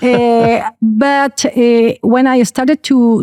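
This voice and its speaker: On a very clean recording with a silent background, a woman speaks in a Spanish accent. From Chile. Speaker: aviation lawyer. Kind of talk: interview. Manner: animated; hesitant, with fillers.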